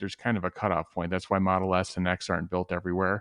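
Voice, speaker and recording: A man with a Chicago accent is heard in a dry, close sound with no echo against a quiet background. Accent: outside of Chicago. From Chicago area, US. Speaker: tesla investing panelist. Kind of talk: casual panel discussion. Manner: halting, with many fillers and repeats.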